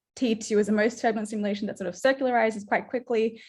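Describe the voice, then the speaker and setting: A woman's somewhat breathy voice in a monotone, flat intonation. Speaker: astrophysics researcher. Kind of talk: research seminar talk. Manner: casual with many fillers.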